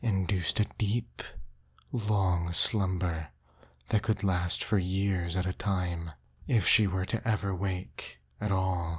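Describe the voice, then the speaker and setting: Soft-spoken and somewhat breathy, a man with a fairly low pitch talks in a soothing tone at a very slow pace, captured in a very clean recording with a silent background. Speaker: storyteller. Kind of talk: bedtime story narration. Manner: soft-spoken, soothing.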